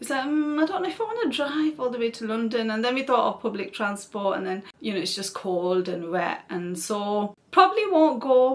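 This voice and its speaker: The voice has a relaxed tone and very wide pitch swings, with noticeable background noise behind it. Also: woman. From northern England (Oldham, Greater Manchester). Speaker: YouTuber, mother of seven. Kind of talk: Q&A casual chat to camera. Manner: chatty, relaxed.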